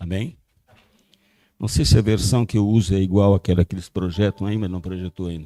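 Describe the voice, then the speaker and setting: Very deep and low in pitch, a man talks at a fairly quick pace with fairly even intonation and long, frequent pauses, on a very clean recording with a silent background. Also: dry, close sound with no echo. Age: 80s+. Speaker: pastor. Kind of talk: sermon.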